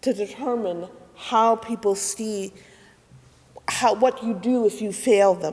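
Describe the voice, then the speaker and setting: A woman with a fairly high voice speaks with ordinary pitch variation. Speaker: minister. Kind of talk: sermon. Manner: slow.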